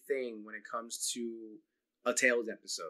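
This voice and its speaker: Against a quiet background, a man with a bright, sharp tone talks at a fairly slow pace. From New Jersey. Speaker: YouTube channel host. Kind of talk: casual interview chat. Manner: halting, many fillers. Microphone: video call.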